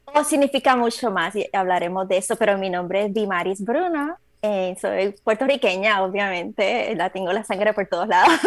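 With an unremarkable speaking voice, a woman talks at a medium pitch and a moderate pace, using ordinary pitch variation and hardly any pauses. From Puerto Rico. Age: 40s. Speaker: trail runner. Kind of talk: casual interview. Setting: video call.

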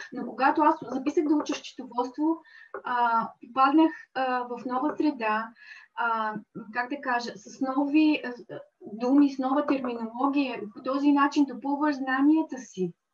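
The pitch moves in an ordinary way, at a fairly slow pace. Loudness swings widely from moment to moment. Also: woman, high pitch for a woman. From Bulgaria, Dobrich. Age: 40s. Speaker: accountant and small craft business owner. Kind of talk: interview.

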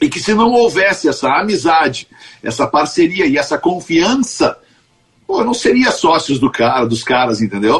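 A man talks at a high pitch and a moderate pace, his voice swinging very widely in pitch. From Porto Alegre, southern Brazil. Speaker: radio executive and show leader. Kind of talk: interview.

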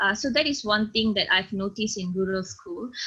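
This woman talks fairly quickly in a Malaysian accent, with a bright, sharp tone. Her pitch is fairly high, with ordinary variation. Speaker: secondary school teacher. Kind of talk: interview. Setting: video call.

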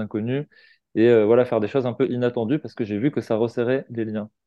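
A man's medium-pitched voice moves fairly quickly, its intonation fairly even. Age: 40s. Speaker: founder of a personal-growth community, energy therapist. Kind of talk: casual interview. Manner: hesitant, many fillers.

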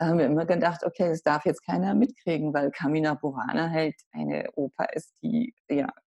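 A woman's fairly low, dark and mellow voice with vocal fry, lively intonation, and a moderate pace, in dry, close sound with no echo. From Hamburg, northern Germany. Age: 60s. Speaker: author. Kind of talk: interview.

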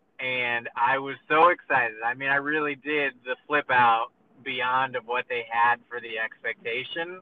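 This is a man with a normal speaking voice at a medium pitch. He talks at a fairly slow pace with fairly even intonation. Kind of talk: casual chat. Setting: phone call. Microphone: car Bluetooth phone audio, poor quality.

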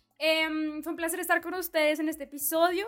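Very fast, a woman talks at a high pitch. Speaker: podcast co-host, university student. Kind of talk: casual chat.

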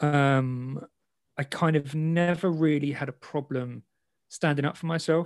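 This man speaks at a fairly slow pace with a fairly high pitch and fairly even intonation. The sound is dry and close, with no echo. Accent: London. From London, England. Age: 30s. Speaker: ex semi-professional boxer and content creator. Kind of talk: interview conversation.

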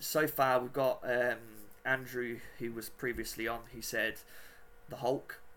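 A man with a British accent talks at a fairly slow pace, with long, frequent pauses. His tone is bright and sharp, his intonation monotone and flat, and his loudness swings widely. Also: medium pitch for a man. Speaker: podcast host. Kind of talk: casual interview chat. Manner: halting, many fillers.

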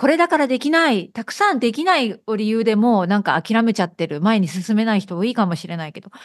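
Over a quiet background, a woman with a fairly high pitch talks at a fairly quick pace with hardly any pauses, very wide pitch swings and big swings in loudness. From Okayama, Japan. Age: 50s. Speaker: podcast host and Japanese teacher. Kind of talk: casual interview chat. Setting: video call.

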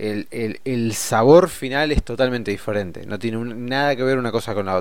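At a moderate pace, a man with a medium pitch speaks in an unremarkable speaking voice. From Argentina. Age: 30s. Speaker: podcast host, financial educator. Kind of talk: solo podcast monologue. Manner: casual, with fillers.

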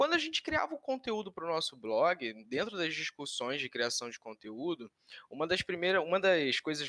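A man talks at a moderate pace with a fairly high pitch, very wide pitch swings, and a bright, sharp tone, the sound dry and close with no echo. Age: 20s. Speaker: communications analyst, marketer. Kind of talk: casual chat.

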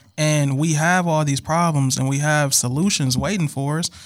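In a very clean recording with a silent background, a man with an American accent speaks at a moderate pace in an ordinary speaking voice with a fairly high pitch. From Milwaukee, Wisconsin. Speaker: podcast guest. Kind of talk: casual chat.

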